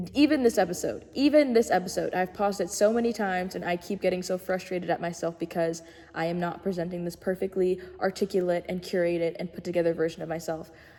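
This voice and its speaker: The woman talks at a very fast pace with hardly any pauses. Her medium pitch shows ordinary variation. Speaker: podcast host. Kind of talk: solo podcast monologue. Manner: stuttering over words, halting.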